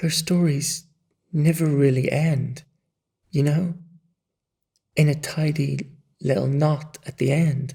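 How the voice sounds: Putting on a character voice, a man speaks slowly at a fairly high pitch in a dark, mellow tone with vocal fry and a slightly husky edge, leaving long, frequent pauses. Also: fairly even intonation.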